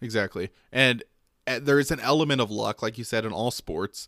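In a very clean recording with a silent background and a dry, close sound with no echo, a man with a plain, everyday voice speaks at a medium pitch and a moderate pace, with ordinary pitch variation. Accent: American. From Michigan. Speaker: sports podcast co-host. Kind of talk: casual chat.

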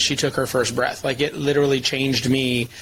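With noticeable background noise behind them, a speaker with an American accent talks at a very fast pace. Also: man. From Michigan, US. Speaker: chiropractic advocacy leader. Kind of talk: interview storytelling. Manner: animated.

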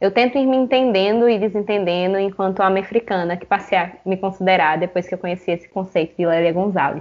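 At a fairly quick pace, a woman talks in a normal speaking voice of medium pitch with ordinary pitch variation. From Paraíba, Brazil (João Pessoa). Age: 20s. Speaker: podcast host. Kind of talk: casual conversational podcast discussion.

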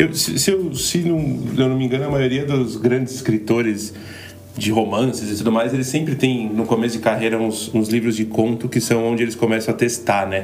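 Noticeable background noise and audible room echo surround a man who speaks at a fairly quick pace and medium pitch with ordinary pitch variation. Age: 30s. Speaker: podcast co-host. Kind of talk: casual chat.

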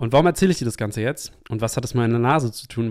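A medium-pitched man on a very clean recording with a silent background. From Hamburg, northern Germany. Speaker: podcast host and ceremony facilitator. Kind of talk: solo podcast monologue.

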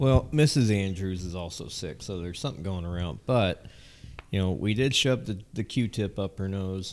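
In a very clean recording with a silent background, a man with an American accent speaks at a moderate pace with lively intonation and a very deep, low pitch. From Southern California. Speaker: podcast co-host. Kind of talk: casual chat.

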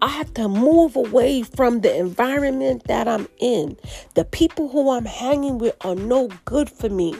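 A woman's high voice, animated in tone, with lively intonation at a fairly slow pace. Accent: New York. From New York City. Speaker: spiritual podcast host. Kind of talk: casual monologue.

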